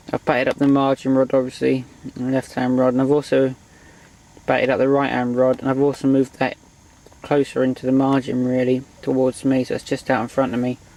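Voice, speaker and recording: Amid noticeable background noise, a man speaks fairly quickly at a medium pitch in a monotone, flat intonation. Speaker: angler vlogger. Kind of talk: casual vlog commentary. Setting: outdoors at lakeside. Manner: talking quietly.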